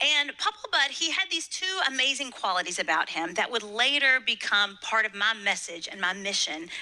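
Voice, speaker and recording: A woman's fairly high voice with a Kentucky accent, very wide pitch swings and a moderate pace, over noticeable background noise. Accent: Southern US (Kentucky). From US South, Western Kentucky. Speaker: motivational speaker. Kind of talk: inspirational speech. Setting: stage with audience.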